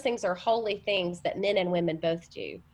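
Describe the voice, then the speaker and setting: A woman with a Southern US accent speaks at a medium pitch with ordinary pitch variation. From US South. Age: 40s. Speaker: college minister. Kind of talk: interview. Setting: remote call.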